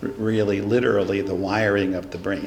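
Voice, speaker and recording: Noticeable background noise and audible room echo surround a man speaking at a fairly low pitch. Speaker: neuroscience professor. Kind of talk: lecture. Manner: loud.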